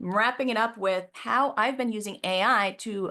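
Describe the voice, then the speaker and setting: Against a quiet background, a woman talks at a moderate pace with lively intonation and medium pitch. She has an unremarkable speaking voice. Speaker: professional organizer. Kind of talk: webinar presentation. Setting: live video call.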